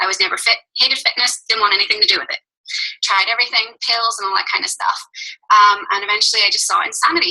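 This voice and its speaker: A woman speaks very fast with a Northern Irish accent. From Northern Ireland. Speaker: fitness coach. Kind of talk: team call talk.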